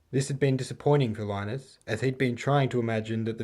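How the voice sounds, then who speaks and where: A man with an Australian accent talks at a fairly quick pace, with medium pitch and fairly even intonation, on a very clean recording with a silent background. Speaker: author. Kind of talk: audiobook reading of own novel. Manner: relaxed, calm.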